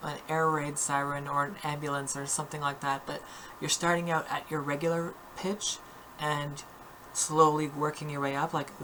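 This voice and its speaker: A woman with a very deep, low voice and flat, monotone delivery at a moderate pace, over noticeable background noise. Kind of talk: voice training tutorial talk to camera. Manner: casual, hesitant with fillers.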